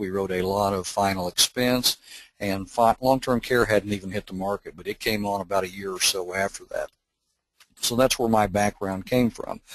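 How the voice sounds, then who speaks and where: The man has an unremarkable speaking voice with a fairly low pitch. He talks at a moderate pace in a dry, close sound with no echo. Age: 60s. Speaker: insurance marketer presenting a webinar. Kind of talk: sales training webinar. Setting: webinar. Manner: casual, conversational with fillers.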